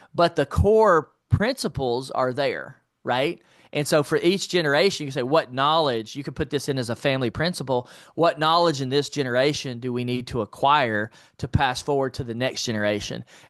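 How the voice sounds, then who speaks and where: With an American accent, a man speaks at a fairly quick pace in an ordinary speaking voice, pitched fairly high with ordinary pitch variation, in a dry, close sound with no echo and a quiet background. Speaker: entrepreneur and finance author. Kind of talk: interview.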